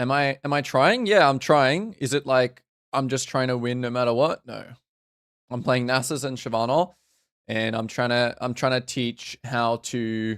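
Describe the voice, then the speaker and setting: A man with a slight Australian accent, medium in pitch with ordinary pitch variation, in a dry, close sound with no echo. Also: moderate pace. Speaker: video game coach streamer. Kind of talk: live stream commentary. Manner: halting.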